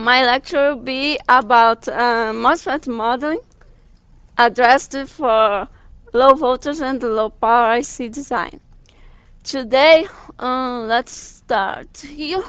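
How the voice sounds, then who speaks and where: Someone with a strong Brazilian accent speaks at a very slow pace with ordinary pitch variation. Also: woman, high pitch for a woman, big swings in loudness. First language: Portuguese. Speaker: guest lecturer. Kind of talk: lecture. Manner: halting.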